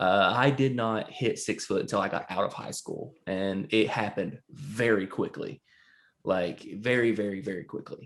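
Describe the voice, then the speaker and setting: In a Southern US accent, a man speaks at a moderate pace with a fairly low pitch and ordinary pitch variation. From US South. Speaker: podcast co-host. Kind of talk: casual chat.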